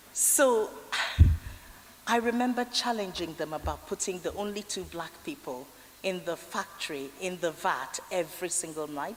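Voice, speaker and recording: With a Nigerian accent, a woman speaks at a moderate pace. Her pitch is medium and her intonation lively. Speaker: honorary fellow giving graduation address. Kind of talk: commencement speech. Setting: graduation ceremony hall.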